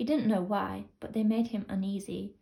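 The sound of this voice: Lively intonation marks the speaker's unforced reading voice.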